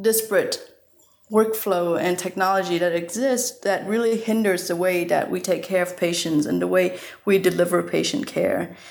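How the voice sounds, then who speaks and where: A woman with a Vietnamese accent speaks at medium pitch with ordinary pitch variation. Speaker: surgeon and health tech founder. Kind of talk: interview.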